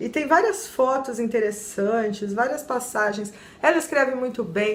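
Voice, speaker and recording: A woman's fairly high voice, animated in tone, at a fairly slow pace, with audible room echo. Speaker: book reviewer, YouTuber. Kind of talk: book review vlog.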